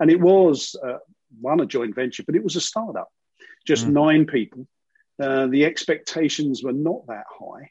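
A dark, mellow London accent with ordinary pitch variation, dry and close, with no echo. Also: man. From East London, England. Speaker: financial services CEO. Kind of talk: interview.

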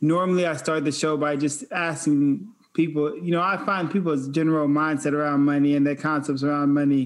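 At a moderate pace, a man with a fairly high pitch talks in a normal speaking voice and fairly even intonation. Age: 30s. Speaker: podcast host and wealth advisor. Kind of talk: casual interview.

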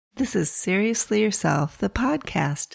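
Over music in the background, a woman speaks at a fairly slow pace in a warm tone with very wide pitch swings. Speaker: podcast host. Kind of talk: casual monologue. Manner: warm, conversational.

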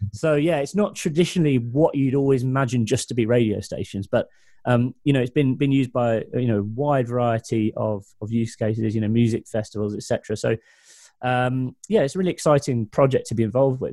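With a Mancunian accent, a man speaks fairly quickly at a medium pitch with ordinary pitch variation, his tone dark and mellow, the sound dry and close with no echo on a very clean recording with a silent background. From Manchester, England. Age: 30s. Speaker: tech entrepreneur. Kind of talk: interview.

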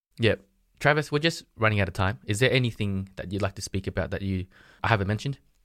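With an Australian accent, a man with a fairly low voice talks at a very fast pace between long, frequent pauses, his pitch varying in an ordinary way. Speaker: podcast host. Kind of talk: interview. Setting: remote call.

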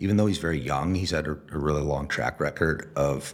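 A man talks with vocal fry in a very deep, low pitch, his intonation fairly even. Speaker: venture capitalist. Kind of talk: interview.

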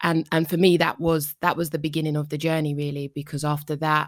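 Against a silent background in a very clean recording, a woman with a London accent speaks in a very deep, low voice with monotone, flat intonation. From Northwest London. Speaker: psychotherapist. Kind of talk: interview.

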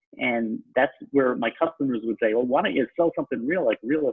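A man speaks with a New York accent. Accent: New York (Long Island), noticeable. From Long Island, New York. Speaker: real estate broker. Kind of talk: casual interview conversation.

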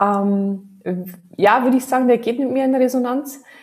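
A woman with a slight Bavarian accent speaks at a moderate pace. Her voice is somewhat breathy, with ordinary pitch variation. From Bavaria, Regensburg area. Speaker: digital marketing consultant. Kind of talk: casual interview.

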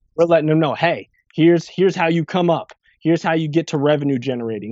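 Talking at a very fast pace with ordinary pitch variation, a man speaks in a New Jersey accent. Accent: New Jersey American. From New Jersey (Irvington, near Newark). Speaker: grant writer and impact investor. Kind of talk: interview.

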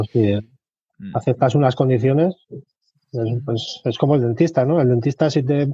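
A somewhat breathy, medium-pitched male voice at a moderate pace, dry and close with no echo. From Spain, Albacete. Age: 40s. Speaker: aspiring web developer, former hospitality worker. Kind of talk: interview.

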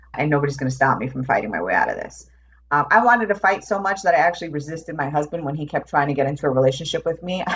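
Over noticeable background noise, a woman with an American accent talks very fast in a very deep, low pitch with lively intonation. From New York. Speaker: transformation coach. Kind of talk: casual chat.

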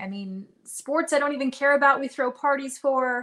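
Over a quiet background, a woman raises and projects her high voice, her tone bright and sharp and her intonation lively. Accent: American. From Nevada, near Reno. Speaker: author, former radio DJ. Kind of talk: casual interview chat. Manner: upbeat, laughs often.

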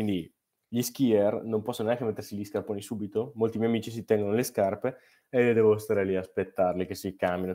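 A man speaks with a slight Brescian accent and a dark, mellow tone. He goes at a very fast pace with fairly even intonation. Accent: Brescia accent, slight. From northern Italy, Brescia. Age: 20s. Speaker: snowboarder and climate activist. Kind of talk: casual interview. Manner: halting.

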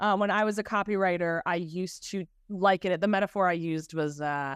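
On a very clean recording with a silent background, an animated voice with an American accent sounds dry and close with no echo, its pitch varying in an ordinary way. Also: woman. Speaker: creative director and brand coach. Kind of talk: casual interview.

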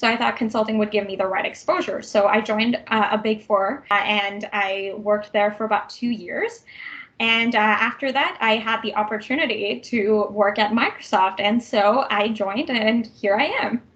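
A woman with a Canadian accent speaks at a fairly high pitch and a moderate pace, her intonation fairly even, with hardly any pauses and noticeable background noise. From Vancouver, Canada. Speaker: tech program manager. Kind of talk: interview.

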